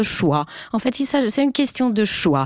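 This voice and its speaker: A woman with a Finnish accent, fairly high-pitched, very slow, with very wide pitch swings. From Finland. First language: Finnish (speaking French). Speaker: journalist and author. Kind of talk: panel discussion.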